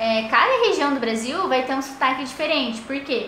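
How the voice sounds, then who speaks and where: A woman's raised, projected, high-pitched voice amid noticeable background noise and audible room echo. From Paraná, southern Brazil. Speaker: teacher trainee. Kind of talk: recorded lesson for primary pupils. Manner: hesitant, many fillers.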